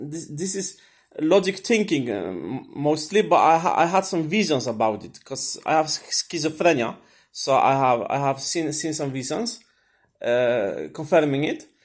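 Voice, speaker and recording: The speaker has vocal fry and lively intonation, moving at a moderate pace with big swings in loudness. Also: man, fairly high pitch for a man. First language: Swedish. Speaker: vlogger. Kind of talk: casual monologue. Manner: halting, many fillers and repetitions.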